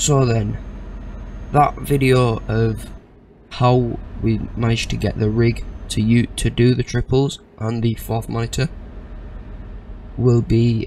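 Speech at a very slow pace with long, frequent pauses comes through a dry sound with no echo and light background noise. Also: man. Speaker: gaming streamer. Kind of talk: casual gameplay commentary. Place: home room.

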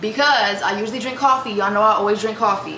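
With light background noise and audible room echo, a woman talks with ordinary pitch variation. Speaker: vlogger. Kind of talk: casual vlog chat. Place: kitchen. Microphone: camera far.

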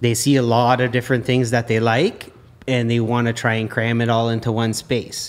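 A plain, everyday voice, this man speaks at a medium pitch and moderate pace with very even loudness, on a very clean recording with a silent background. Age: 40s. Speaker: mason. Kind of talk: casual chat.

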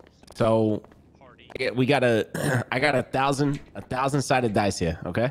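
Noticeable background noise sits behind a man who speaks at a medium pitch with ordinary pitch variation and long, frequent pauses. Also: moderate pace. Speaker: roleplay player. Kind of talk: in-character roleplay.

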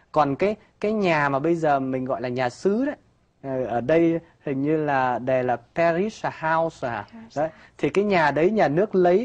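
This man has a fairly high pitch and lively intonation. He talks at a fairly slow pace against a quiet background. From northern Vietnam. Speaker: priest guest on talk show. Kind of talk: interview, personal testimony. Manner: forceful. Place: studio. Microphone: lapel.

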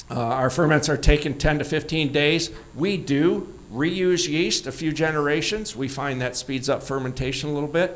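This man talks with an American accent at a fairly high pitch, his pitch varying in an ordinary way. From Michigan. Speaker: orchard owner and cider maker; presenter. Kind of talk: conference presentation. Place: hall. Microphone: handheld.

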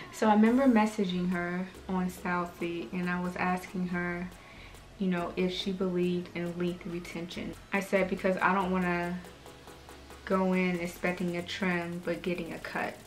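Over light background noise, a woman speaks at a fairly low pitch and a moderate pace in a monotone, flat intonation. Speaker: hair vlogger. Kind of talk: casual vlog chat. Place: home room. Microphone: camera far.

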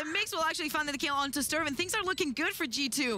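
A woman's high-pitched, raised and projected voice over noticeable background noise. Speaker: esports analyst co-caster, colour commentator. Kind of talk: live esports commentary, analysis. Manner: analytical, explanatory, measured with occasional laughter.

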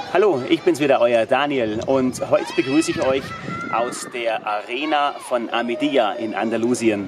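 Speech moves at a moderate pace over noticeable background noise. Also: man. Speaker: presenter. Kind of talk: fitness tutorial vlog. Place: stadium. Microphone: phone near.

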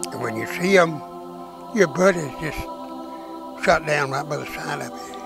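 With clear music in the background, a man with a fairly high voice makes very wide pitch swings and leaves long, frequent pauses, the sound dry with no echo. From Arkansas. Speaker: WWII veteran. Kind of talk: interview answer. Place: home room. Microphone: lapel.

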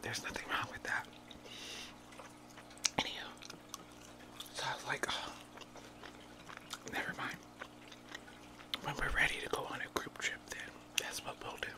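A woman whispers at a moderate pace. She takes long, frequent pauses. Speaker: ASMR mukbang creator. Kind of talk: ASMR mukbang whispered talk. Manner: whispered. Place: home room. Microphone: studio mic.

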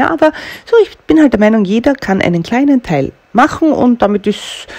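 A woman talks with lively intonation and a slightly mellow tone.

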